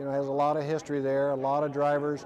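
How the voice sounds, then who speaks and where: With noticeable background noise behind him, a man talks fairly quickly in a fairly high pitch, using monotone, flat intonation and an American accent. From Ohio, Dayton. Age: 60s. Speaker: retired race car driver. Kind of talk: interview.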